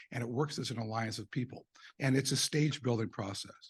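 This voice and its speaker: Speaking at a fairly quick pace, a man sounds somewhat breathy. His pitch is medium, and the background is quiet. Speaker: eye surgeon presenting at a medical conference. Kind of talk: conference presentation. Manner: animated.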